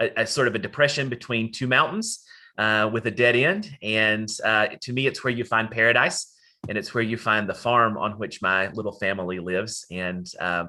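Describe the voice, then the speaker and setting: In an Appalachian accent, a man talks at a moderate pace with a medium pitch, ordinary pitch variation, and a bright, sharp tone over a quiet background. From Western North Carolina, Appalachia. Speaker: academic presenter. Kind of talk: lecture.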